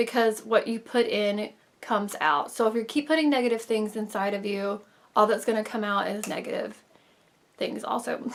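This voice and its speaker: Fairly even intonation marks an ordinary speaking voice. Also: woman. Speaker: beauty vlogger. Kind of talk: casual vlog talk to camera.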